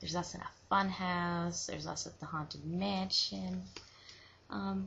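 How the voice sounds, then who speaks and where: A soft-spoken woman with a very deep, low pitch, vocal fry and very wide pitch swings. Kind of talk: soft-spoken ASMR show and tell. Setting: webcam recording.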